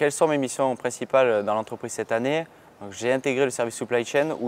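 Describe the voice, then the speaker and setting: A man talks in a plain, everyday voice at a medium pitch. His intonation stays fairly even. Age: 20s. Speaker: work-study student in purchasing. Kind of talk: interview testimony.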